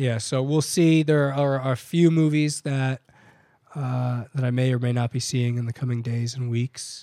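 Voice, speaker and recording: A man speaks at a fairly slow pace and medium pitch. His tone is dark and mellow, his intonation fairly even. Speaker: podcast co-host. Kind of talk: casual chat.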